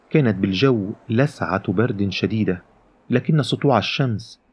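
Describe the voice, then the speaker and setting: Animated in tone, a man with a fairly low pitch speaks at a fairly slow pace. His pitch varies in an ordinary way. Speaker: audiobook narrator. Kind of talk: literary audiobook reading, first-person narration with character voices. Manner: animated storyteller, shifts tone between narrator and characters.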